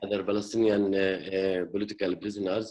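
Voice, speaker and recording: Speaking at a fairly quick pace with a Middle Eastern accent, a man has a very deep, low pitch. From West Bank, Jerusalem area. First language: Arabic. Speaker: peace activist. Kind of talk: panel discussion. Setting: video call. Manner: halting, many fillers.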